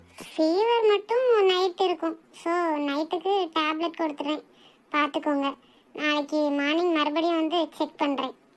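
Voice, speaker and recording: A woman performs a cartoonish character voice at an extremely high pitch. Her pace is fairly slow. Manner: calm, explanatory.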